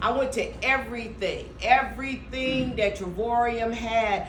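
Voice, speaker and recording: An animated tone with ordinary pitch variation, plus audible room echo and noticeable background noise. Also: woman. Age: 60s. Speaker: motivational speaker. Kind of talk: motivational talk. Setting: stage with audience.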